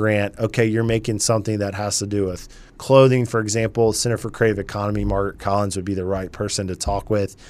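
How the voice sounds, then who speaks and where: Talking very fast with hardly any pauses, a man uses a fairly low pitch and a flat, monotone delivery with an American accent. The recording is very clean, with a silent background. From US South, Charleston, South Carolina. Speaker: chamber of commerce president. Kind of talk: radio interview. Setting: radio studio.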